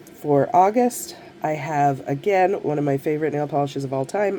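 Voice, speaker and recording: The speech moves at a moderate pace with ordinary pitch variation. Noticeable noise sits in the background. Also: woman. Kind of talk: casual talk to camera.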